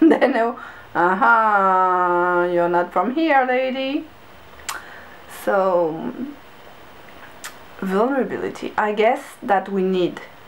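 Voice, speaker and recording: Very slowly and with lively intonation, a woman speaks at a medium pitch over noticeable background noise. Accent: non-native. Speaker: creative vlogger and artist. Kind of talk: casual vlog monologue. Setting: home bedroom.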